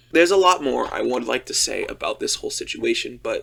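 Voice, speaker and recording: A man speaks against noticeable background noise. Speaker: content creator. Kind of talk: casual talk to camera. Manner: hesitant, some stuttering.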